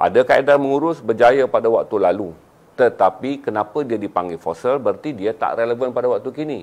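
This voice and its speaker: A man with lively intonation at a fairly quick pace. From Malaysia. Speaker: business motivational speaker; motivational speaker. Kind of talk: live-stream talk. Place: studio. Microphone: lapel.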